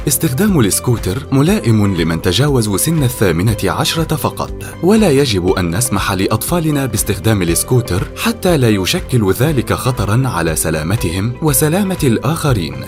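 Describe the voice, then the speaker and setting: Music plays behind a man at medium pitch who speaks at a fairly slow pace with hardly any pauses. His pitch swings very widely while his loudness stays very even. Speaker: voice actor. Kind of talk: public awareness ad narration.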